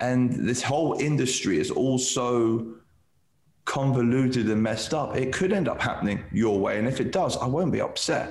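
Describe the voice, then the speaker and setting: Against audible room echo, a man speaks at a medium pitch and a moderate pace, with ordinary pitch variation and very even loudness. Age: 30s. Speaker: CBD lab director. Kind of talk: casual interview chat. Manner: halting, repeats words.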